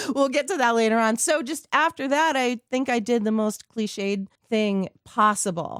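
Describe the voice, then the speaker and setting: A woman with a plain, everyday voice speaks at a fairly high pitch with lively intonation, at a moderate pace with hardly any pauses. The recording is very clean with a silent background and a dry, close sound with no echo. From Southern California, born in Queens. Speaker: radio host and voiceover artist. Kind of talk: casual chat.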